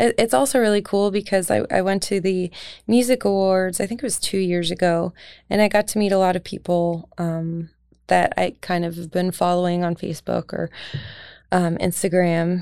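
This woman has an ordinary speaking voice at medium pitch, talking at a moderate pace with ordinary pitch variation in a very clean recording with a silent background. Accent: American. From Pennsylvania, Lehigh Valley. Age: 30s. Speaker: singer-songwriter. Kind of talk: casual interview. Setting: studio.

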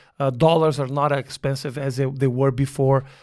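The speech comes very fast over a very clean recording with a silent background. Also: man. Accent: Portuguese. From southern Brazil (Porto Alegre). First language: Portuguese. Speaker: stand-up comedian. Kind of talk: casual chat. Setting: studio.

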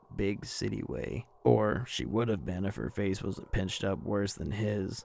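This is a natural reading voice. The intonation is fairly even.

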